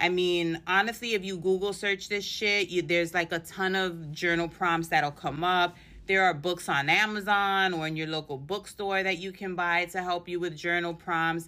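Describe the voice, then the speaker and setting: In a New York accent, a woman speaks with hardly any pauses and fairly even intonation. Her tone is bright and sharp, her pitch fairly low. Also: moderate pace, very clean recording, silent background. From New York City. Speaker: podcast host and empowerment mentor. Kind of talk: casual solo podcast talk. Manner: casual, sassy.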